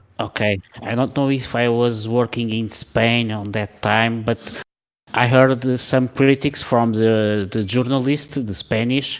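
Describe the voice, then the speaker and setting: A man with a Portuguese accent at a very slow pace, fairly even intonation, on a very clean recording with a silent background. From Portugal. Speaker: podcast co-host. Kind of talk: casual chat.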